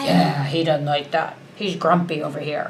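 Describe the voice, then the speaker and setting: A put-on character voice at a low-to-middle pitch goes at a moderate pace over clear background noise. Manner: growling, playful.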